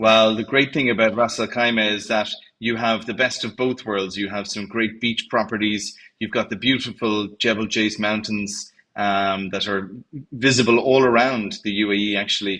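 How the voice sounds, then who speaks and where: Against a quiet background, a man with an Irish accent speaks in a monotone, flat intonation at a fairly low pitch with a bright, sharp tone. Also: moderate pace. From Ireland. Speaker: hotel general manager. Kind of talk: interview. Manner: hesitant, many fillers.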